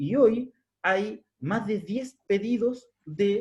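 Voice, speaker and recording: A man with a Chilean accent and a dark, mellow tone. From southern Chile, Araucanía (Curarrehue). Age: 30s. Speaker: researcher presenting a study. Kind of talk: academic seminar talk.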